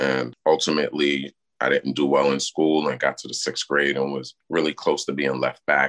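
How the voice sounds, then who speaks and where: A man talks in a Brooklyn accent at a fairly quick pace. The sound is dry and close, with no echo. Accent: New York (Brooklyn). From Brooklyn, New York City. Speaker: criminal justice advocate, formerly incarcerated. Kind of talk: interview.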